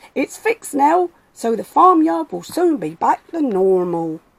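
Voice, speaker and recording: A woman puts on a character voice, high-pitched and raised as if projecting, with very wide pitch swings. She speaks at a moderate pace, and the sound is dry and close with no echo. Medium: read story.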